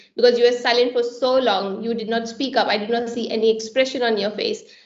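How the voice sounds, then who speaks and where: A woman's fairly high voice, fairly quick and delivered in a monotone, flat intonation. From India. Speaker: software engineer. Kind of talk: panel discussion.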